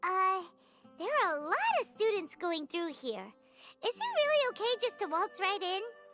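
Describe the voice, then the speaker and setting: A squeaky, put-on character voice at an extremely high pitch, moderate in pace, with long, frequent pauses and faint music in the background. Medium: video game. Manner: casual, excitable.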